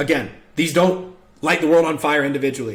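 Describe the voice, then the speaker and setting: The delivery moves at a fairly quick pace with an energetic tone. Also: man. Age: 20s. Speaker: home service business coach. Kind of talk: tutorial. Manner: fast; casual, energetic.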